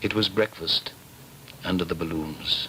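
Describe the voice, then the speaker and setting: A man talks at a fairly slow pace in a warm tone. Noticeable background noise is present. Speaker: actor. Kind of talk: literary prose reading. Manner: warm, nostalgic, masterful delivery.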